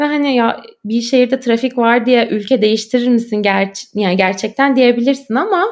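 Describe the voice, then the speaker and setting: Very clean recording with a silent background, a high-pitched woman at a moderate pace with ordinary pitch variation. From Turkey, Istanbul. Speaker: graduate student and podcaster. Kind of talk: casual interview chat.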